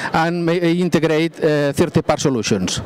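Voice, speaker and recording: A man talks at a moderate pace with fairly even intonation, his voice dry and echo-free over light background noise. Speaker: presenter. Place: stage.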